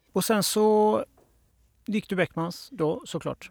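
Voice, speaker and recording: Ordinary pitch variation marks this man's speech. The recording is very clean, with a silent background and a dry, close sound with no echo. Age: 40s. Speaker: podcast host, graphic designer. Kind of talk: interview. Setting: studio.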